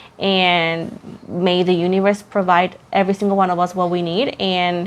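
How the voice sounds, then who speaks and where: A woman with a Puerto Rican accent speaks at a moderate pace and medium pitch. Her intonation is monotone and flat, against a quiet background. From Puerto Rico. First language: Spanish. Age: 20s. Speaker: tarot reader. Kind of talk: casual chat.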